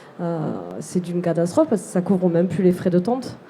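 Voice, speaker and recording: This woman speaks with a southwestern French accent. Her pitch is fairly low and her intonation fairly even. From southwest France (Lot, near Figeac). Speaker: artisan entrepreneur, seamstress. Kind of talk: live interview at a trade fair. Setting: trade fair stand, live broadcast.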